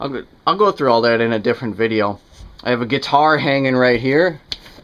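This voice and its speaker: The man's pitch varies in an ordinary way. He talks at a moderate pace. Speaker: fitness vlogger. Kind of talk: casual home gym tour. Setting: small home room. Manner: casual, with many fillers.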